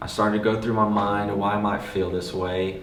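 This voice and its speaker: The delivery is at a moderate pace with monotone, flat intonation. Audible room echo and noticeable background noise fill the recording. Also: man. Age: 20s. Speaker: personal vlogger sharing mental health story. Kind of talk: personal testimony.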